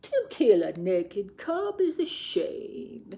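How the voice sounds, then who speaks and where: Soft-spoken and very slow, the speaker uses a put-on character voice. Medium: read story. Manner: smooth, persuasive.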